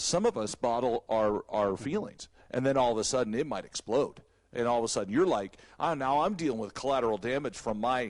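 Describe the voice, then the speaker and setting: Against a quiet background, a man speaks fairly quickly at a medium pitch with ordinary pitch variation. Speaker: church staff member. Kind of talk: casual chat. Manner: loud, intense; animated.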